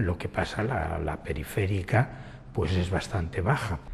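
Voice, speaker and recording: A man speaks at a fairly slow pace with a very deep, low pitch. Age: 60s. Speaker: person living with retinitis pigmentosa. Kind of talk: documentary interview testimony.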